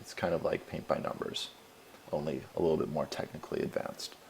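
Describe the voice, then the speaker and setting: A man at a fairly quick pace. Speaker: researcher. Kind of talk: tutorial. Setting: screencast.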